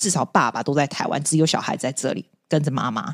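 Speaking very fast with a strong Taiwanese accent, a woman uses a very deep, low pitch. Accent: strong Taiwanese Mandarin. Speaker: podcaster and teacher. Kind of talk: casual chat.

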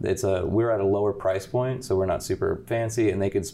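An ordinary speaking voice from a man with an American accent and fairly even intonation. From Central Florida (Winter Park). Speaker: chef and restaurant owner. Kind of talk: casual chat.

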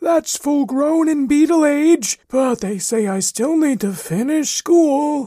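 Using a put-on character voice, the speaker talks at a high pitch and a fairly slow pace with hardly any pauses.

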